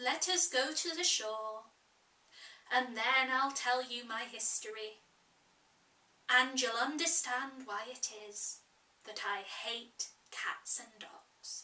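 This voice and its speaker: In a shaky, put-on character voice, a woman speaks very slowly at a high pitch. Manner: trembling.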